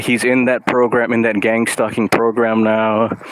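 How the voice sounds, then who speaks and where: Over noticeable background noise, a man talks at a medium pitch. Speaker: artist and vlogger. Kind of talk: casual monologue vlog. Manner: loud, extroverted; halting, lots of fillers.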